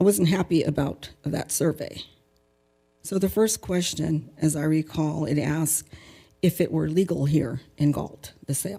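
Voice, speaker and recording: A woman's very deep, low voice with a dark, mellow tone and vocal fry, at a fairly slow pace with ordinary pitch variation. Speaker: public commenter. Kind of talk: public comment at council meeting. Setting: city council meeting.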